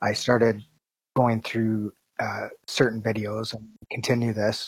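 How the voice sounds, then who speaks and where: A soft-spoken man with a Canadian accent, monotone and flat, in a dry, close sound with no echo. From Canada. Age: 40s. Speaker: video producer. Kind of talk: interview. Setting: video call.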